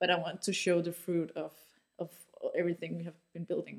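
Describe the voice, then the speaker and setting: A woman speaks at a fairly quick pace with a Danish accent, her pitch fairly low. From Denmark, Aarhus. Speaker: marketing agency founder and CEO. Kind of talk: interview. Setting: studio.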